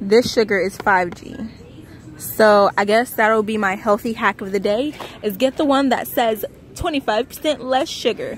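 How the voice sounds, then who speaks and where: A woman's fairly high voice at a moderate pace, with ordinary pitch variation, a dry sound with no echo and light background noise. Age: 20s. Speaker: vlogger. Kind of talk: casual vlog talk to camera. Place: shop. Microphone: phone near.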